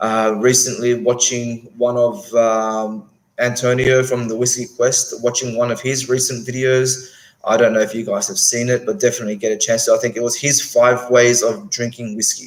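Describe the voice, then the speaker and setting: In an Australian accent, a man speaks at a moderate pace. His pitch is medium, with ordinary variation. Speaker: whisky YouTuber. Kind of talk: live stream chat. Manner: halting, many fillers.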